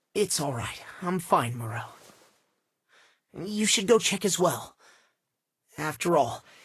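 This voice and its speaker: A man does a put-on character voice that is high-pitched for a man, with very wide pitch swings. He goes at a fairly slow pace with long, frequent pauses. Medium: video game. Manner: observant, cutting.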